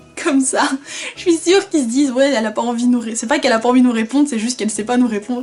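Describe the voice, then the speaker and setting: Through noticeable background noise, a woman with a high voice talks at a very fast pace. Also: ordinary pitch variation. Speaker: vlogger. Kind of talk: casual vlog storytelling. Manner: animated, conversational.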